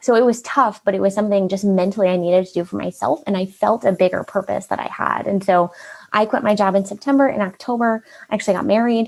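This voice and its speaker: At a very fast pace, a woman talks in an animated, upbeat tone with ordinary pitch variation. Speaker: marketing consultant, business owner. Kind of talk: interview, personal story.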